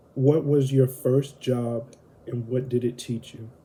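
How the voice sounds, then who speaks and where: Speaking very slowly in a Southern US accent, a man has a somewhat breathy, dark, mellow tone and monotone, flat intonation. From US South (Alabama and Florida). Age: 20s. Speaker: vlogger. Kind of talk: casual Q&A monologue. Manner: hesitant, many fillers.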